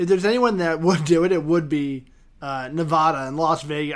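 Speaking at a fairly quick pace, this man has an ordinary speaking voice. His pitch is fairly high, with ordinary pitch variation. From New York City. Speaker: podcast host. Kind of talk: casual interview. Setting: Skype call.

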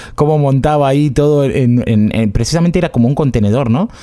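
Speaking at a very fast pace, a man talks with an Argentine accent. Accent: Rioplatense Argentine Spanish. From Argentina, Buenos Aires area. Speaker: podcast host. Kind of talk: casual chat.

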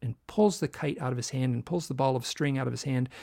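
This man's voice sits at a medium pitch and is somewhat breathy. He talks fairly quickly, with ordinary pitch variation. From US Midwest (Michigan). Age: 60s. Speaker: author and UFO researcher. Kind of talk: interview conversation. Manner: halting, many false starts.

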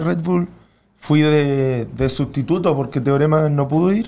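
A man speaks with a Chilean accent at a fairly slow pace. His pitch is fairly high. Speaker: freestyle rapper. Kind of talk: casual chat.

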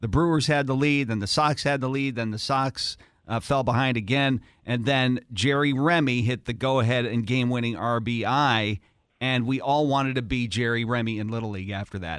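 Recorded very cleanly against a silent background, a man with a plain, everyday voice talks at a moderate pace and medium pitch with ordinary pitch variation. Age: 50s. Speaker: morning radio host. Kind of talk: morning radio banter.

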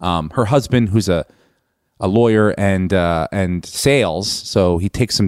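A man with an unremarkable speaking voice uses a fairly low pitch with ordinary pitch variation. The recording is very clean and silent behind him, with a dry, close sound and no echo. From US East Coast. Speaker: comedian and podcast host. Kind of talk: casual podcast monologue and interview.

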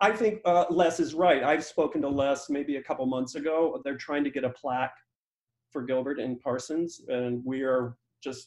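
In an ordinary speaking voice with an American accent, a man of fairly high pitch speaks at a moderate pace, showing ordinary pitch variation. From small-town Michigan. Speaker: foundation director. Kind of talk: interview.

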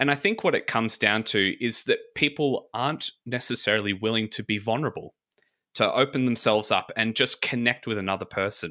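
In an Australian accent, a man speaks at a fairly quick pace with a bright, sharp tone. The recording is very clean, with a silent background. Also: medium pitch for a man, ordinary pitch variation. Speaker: podcast co-host. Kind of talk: casual chat.

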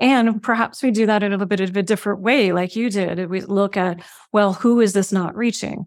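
Over a very clean recording with a silent background, a woman with a normal speaking voice talks at a fairly quick pace, using a medium pitch and fairly even intonation. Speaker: podcast host. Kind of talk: interview conversation.

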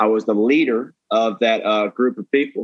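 Pitch rises and falls in an ordinary way while the delivery keeps a moderate pace. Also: man. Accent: Southern US. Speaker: comedian. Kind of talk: casual chat, storytelling. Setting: video call.

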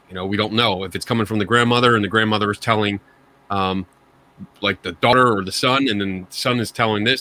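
A man with a Philadelphia accent, very fast pace, fairly even intonation and a bright, sharp tone. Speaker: paranormal investigator guest. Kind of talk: casual chat. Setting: video call.

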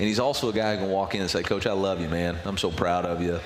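Noticeable background noise sits behind a man whose fairly low voice has ordinary pitch variation. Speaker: college football head coach. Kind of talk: radio interview, casual talk. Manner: conversational, candid, slightly wry.

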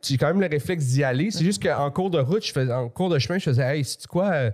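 On a very clean recording with a silent background, a man with a fairly high, somewhat breathy voice talks at a fairly quick pace with lively intonation and hardly any pauses. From Quebec (Montreal, then Laval suburbs). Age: 40s. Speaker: comedian. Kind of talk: casual chat.

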